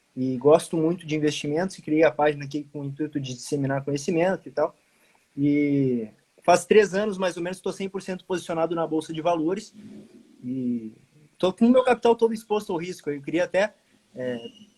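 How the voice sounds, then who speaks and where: A dark, mellow tone at a fairly quick pace. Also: man, fairly high pitch for a man. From southern Brazil, Rio Grande do Sul. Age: 20s. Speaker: army officer and investment page owner. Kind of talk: casual livestream conversation. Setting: live stream video call.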